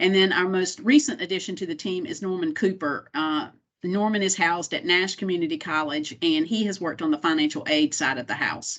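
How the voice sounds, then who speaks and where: A woman with an American accent and an unremarkable speaking voice talks at a medium pitch against a quiet background. Her pace is fairly quick with hardly any pauses, and her intonation is lively. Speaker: compliance director at a state college system. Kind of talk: training presentation.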